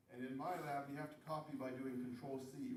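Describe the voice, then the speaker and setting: Audible room echo surrounds a man's voice. He has a fairly high pitch and keeps a moderate pace. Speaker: college math instructor. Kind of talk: classroom lecture. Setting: classroom with students.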